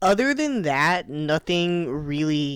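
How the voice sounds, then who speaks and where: A woman speaks here. Her pitch varies in an ordinary way. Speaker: podcast host. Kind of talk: casual chat. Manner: casual, filler-heavy.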